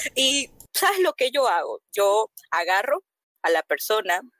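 A woman talks at a very slow pace with lively intonation, in a dry, close sound with no echo. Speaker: cosplayer and event host. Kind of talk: casual chat.

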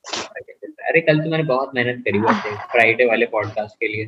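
A man talks in a plain, everyday voice at medium pitch, with ordinary pitch variation. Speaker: podcast host. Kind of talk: casual chat.

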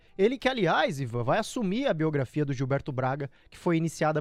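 The voice has an animated tone, set against a quiet background. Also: man. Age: 20s. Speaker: radio host. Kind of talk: radio show.

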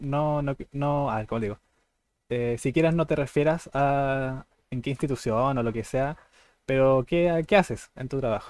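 A man speaks with a Chilean accent. His pitch is fairly high. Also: ordinary pitch variation, fairly slow pace. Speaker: podcast host. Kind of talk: casual chat.

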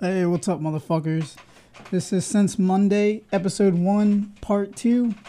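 He mumbles at a fairly slow pace, his voice high for a man. The tone is dark and mellow, the loudness very even. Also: ordinary pitch variation. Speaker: podcast co-host. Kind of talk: casual chat. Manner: mumbling.

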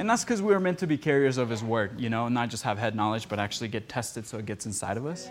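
A man's medium-pitched voice with lively intonation, at a very fast pace with hardly any pauses. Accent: Spanish. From Costa Rica. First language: Spanish. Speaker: podcast producer and speaker. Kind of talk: teaching message with casual banter.

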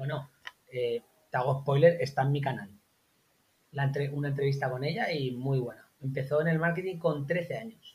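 This man's voice has a somewhat breathy quality. He speaks neither fast nor slow, at a moderate pace. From Spain, La Mancha (Albacete). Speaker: copywriter and online marketer. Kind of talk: casual interview.

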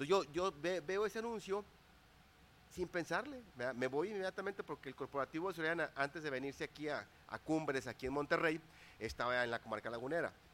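Lively intonation at a very fast pace. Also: man, fairly high pitch for a man. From Mexico, Torreón, Coahuila. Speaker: business and life coach. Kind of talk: interview.

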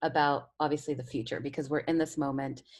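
Fairly quick speech from a woman with a very deep, low pitch, on a very clean recording with a silent background. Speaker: radio host. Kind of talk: radio talk show.

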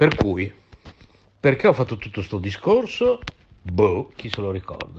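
A somewhat breathy voice moves through very wide pitch swings. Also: man. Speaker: radio host. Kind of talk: casual chat. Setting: voice message recorded on phone.

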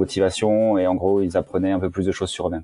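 A man's voice with a dark, mellow tone. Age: 40s. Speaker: tech startup co-founder and CEO. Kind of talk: casual interview. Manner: hesitant, many fillers.

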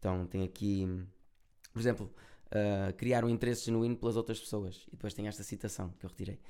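Speaking quickly with a European Portuguese accent, a man keeps a fairly low pitch, a dark, mellow tone and monotone, flat intonation. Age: 20s. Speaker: musician and content creator. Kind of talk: casual chat. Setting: recording at an agency office.

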